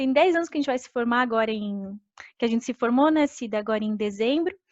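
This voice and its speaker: Against a quiet background, a woman speaks very fast. Her pitch varies in an ordinary way. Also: dry, close sound with no echo. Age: 30s. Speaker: agronomist giving a career talk. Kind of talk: online career presentation with slides. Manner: hesitant, many filler sounds.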